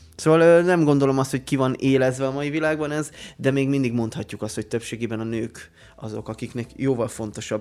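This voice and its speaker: With ordinary pitch variation, a man talks at a fairly quick pace at a medium pitch. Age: 30s. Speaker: podcast co-host. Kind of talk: casual chat. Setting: studio.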